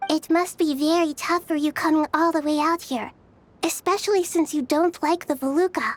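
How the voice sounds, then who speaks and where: A female-sounding, extremely high-pitched put-on character voice. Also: moderate pace. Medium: video game. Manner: calm, gentle.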